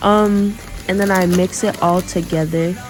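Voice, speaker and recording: A woman with a fairly low pitch is heard through noticeable background noise and audible room echo. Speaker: cooking vlogger. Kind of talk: voiceover narration of cooking video. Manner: casual, filler-heavy; stumbles over words.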